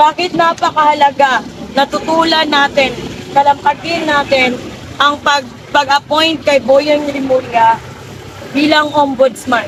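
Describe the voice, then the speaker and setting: Through noticeable background noise, a high-pitched woman holds very even loudness and fairly even intonation. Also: fairly slow pace. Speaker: anti-corruption activist. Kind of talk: protest speech. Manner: soft-spoken; code-switching Tagalog and English.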